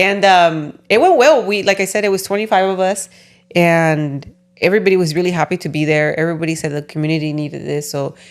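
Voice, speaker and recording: In a Spanish accent, a woman with a fairly low voice talks very fast, her pitch varying in an ordinary way. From California. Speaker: podcast host. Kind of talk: casual chat.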